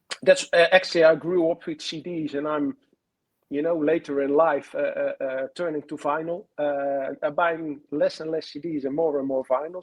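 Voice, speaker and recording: A man's fairly high voice with a Dutch accent. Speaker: author and fan historian. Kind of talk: interview. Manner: halting, many fillers.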